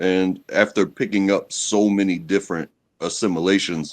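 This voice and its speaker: Talking at a fairly slow pace, this man has an American accent. His pitch is very deep and low. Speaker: guest on a live stream. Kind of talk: casual chat. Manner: clearly enunciated.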